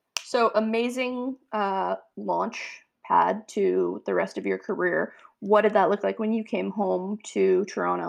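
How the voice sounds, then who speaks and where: A woman speaking at a fairly slow pace with hardly any pauses, over a quiet background. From Niagara region, Ontario, Canada. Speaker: podcast host, food business co-founder. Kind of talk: casual interview. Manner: hesitant, many fillers.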